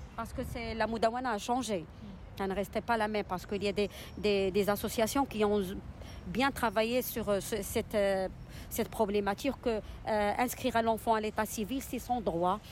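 Speaking at a moderate pace with long, frequent pauses, a woman holds a fairly high pitch and fairly even intonation. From Morocco, Casablanca. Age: 40s. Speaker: single mother. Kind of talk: testimony. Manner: halting.

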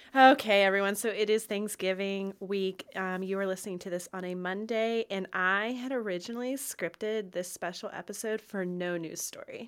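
An ordinary speaking voice moves at a moderate pace with fairly even intonation and hardly any pauses. The recording is very clean, with a silent background. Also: woman, medium pitch for a woman. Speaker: wedding podcast host. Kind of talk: casual chat.

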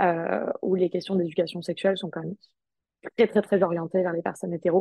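A woman talks at a fairly quick pace in a monotone, flat delivery. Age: 20s. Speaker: sex counselor and streamer. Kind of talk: casual chat.

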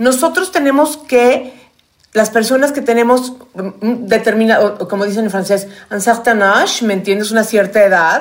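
A woman with a fairly high voice speaks at a moderate pace with ordinary pitch variation, a normal speaking voice. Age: 50s. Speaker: podcast co-host. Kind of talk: casual chat.

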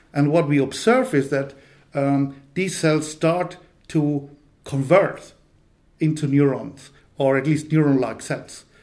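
Amid audible room echo, a man speaks at a very slow pace with long, frequent pauses. His pitch is fairly high and his intonation fairly even. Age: 50s. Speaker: neuroscience professor. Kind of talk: interview. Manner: hesitant, many fillers.

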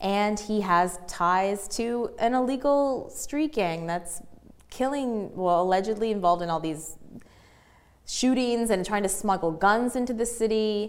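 In a Canadian accent, a woman with an ordinary speaking voice talks at a fairly slow pace, her medium pitch showing ordinary variation. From rural Ontario, Canada. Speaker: journalist and author. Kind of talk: interview.

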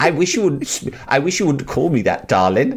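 A man puts on a squeaky character voice, fairly high in pitch. He speaks at a fairly slow pace with very wide pitch swings. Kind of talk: polite, mildly protesting. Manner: camp.

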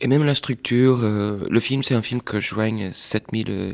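At a very slow pace, a man talks on a very clean recording with a silent background. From Portuguese family, raised mostly in Washington DC. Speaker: filmmaker and artist. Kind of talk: interview. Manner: halting, with repetitions and fillers.

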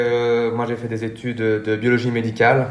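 Speech at a moderate pace is heard amid noticeable background noise, with audible echo from the room. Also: man. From Belgium. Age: 20s. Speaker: duathlete. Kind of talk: interview.

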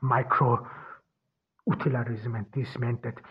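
Speaking at a medium pitch in a monotone, flat way, a man keeps to a moderate pace. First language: German. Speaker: podcast host. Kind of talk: philosophical monologue. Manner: halting, many fillers.

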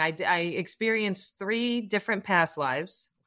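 Recorded very cleanly against a silent background, a woman talks at a moderate pace with lively intonation. She has an ordinary speaking voice. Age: 40s. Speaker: holistic life coach. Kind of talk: casual chat.

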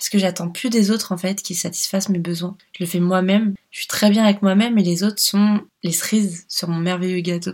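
A woman at medium pitch talks in a somewhat breathy voice with fairly even intonation. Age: 30s. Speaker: life coach and podcast host. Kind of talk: solo podcast monologue, personal story.

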